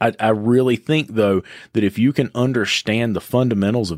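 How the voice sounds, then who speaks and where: An Appalachian accent at a moderate pace on a very clean recording with a silent background. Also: man, dry, close sound with no echo. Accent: Appalachian Southern US. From western North Carolina (Boone area). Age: 30s. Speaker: auto repair shop owner. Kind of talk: interview conversation.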